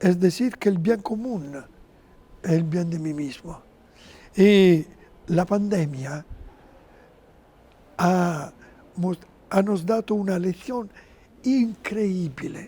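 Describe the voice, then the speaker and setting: With an Italian accent, a man speaks very slowly at a high pitch, his dark, mellow tone broken by long, frequent pauses and his pitch varying in an ordinary way. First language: Italian (speaking Spanish). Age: 70s. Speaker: interview guest, religious figure. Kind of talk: TV interview. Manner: halting.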